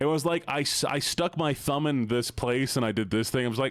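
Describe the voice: Pitch moves in an ordinary way as someone does plain reading aloud.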